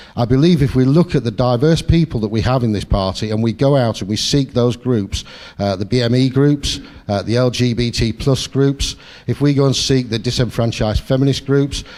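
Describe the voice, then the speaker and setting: Noticeable background noise sits under a speaker with a Sheffield accent, talking at a moderate pace with ordinary pitch variation. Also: man. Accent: Sheffield accent, kept. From northern England, Sheffield. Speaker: political candidate. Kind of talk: campaign speech. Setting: hustings in a meeting hall.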